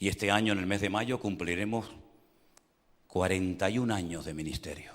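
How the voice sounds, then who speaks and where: A man with a fairly low pitch talks at a moderate pace, and audible room echo fills the recording. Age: 60s. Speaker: pastor. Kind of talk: sermon. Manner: animated.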